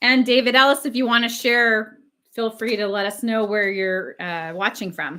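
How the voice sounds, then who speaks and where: The tone is bright and sharp, the pace moderate, and the pitch varies in an ordinary way. The recording is very clean, with a silent background. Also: woman, fairly high pitch for a woman. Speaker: record collector and live streamer. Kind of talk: casual live stream chat. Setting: live stream with chat.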